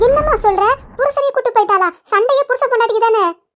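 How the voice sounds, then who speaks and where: A woman's squeaky, cartoonish character voice at an extremely high pitch, delivered at a moderate pace. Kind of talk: village comedy cartoon. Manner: inquisitive, prodding.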